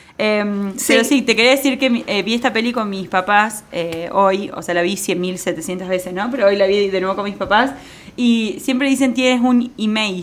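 At a moderate pace, the speaker talks with ordinary pitch variation over noticeable background noise. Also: woman, medium pitch for a woman. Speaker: podcast co-host. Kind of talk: casual chat.

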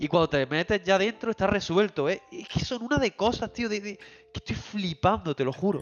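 Talking at a moderate pace with hardly any pauses, a man with a high pitch sounds animated, his intonation lively and his loudness swinging widely. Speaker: video game podcast co-host. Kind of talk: casual chat. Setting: livestream on Twitch.

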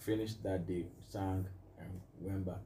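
A man's fairly low voice with fairly even intonation, audible room echo and noticeable background noise. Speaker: music producer and minister. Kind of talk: casual interview.

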